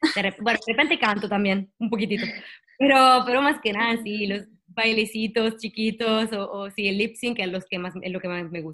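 A woman speaks at a moderate pace with fairly high pitch. Her pitch varies in an ordinary way. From Italy. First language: Italian (speaking Spanish). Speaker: singer-songwriter and actress. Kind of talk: interview. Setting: video call.

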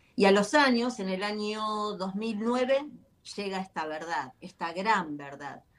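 The speaker is a woman, and she goes very slowly. Her pitch moves in a lively way. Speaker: author, life coach. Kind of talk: interview. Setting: video call.

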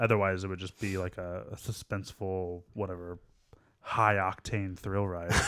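Very deep and low in pitch, a man's voice moves at a moderate pace with monotone, flat intonation. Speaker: podcast co-host. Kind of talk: casual chat.

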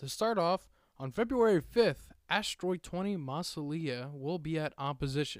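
A man talks at a moderate pace with lively intonation and a fairly high pitch. The recording is very clean, with a silent background. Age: 20s. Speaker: podcast host. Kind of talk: solo podcast monologue.

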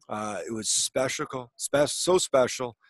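The speaker is a man. He talks with a Canadian prairie accent. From Manitoba, Canada (small town). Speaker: former pro hockey player and TV color commentator. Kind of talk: casual interview.

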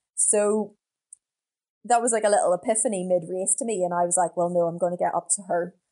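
This woman has a Northern Irish accent and a dark, mellow tone. Her pitch sits in the medium range with ordinary variation. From Northern Ireland, County Down (Portaferry). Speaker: professional middle distance runner. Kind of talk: interview.

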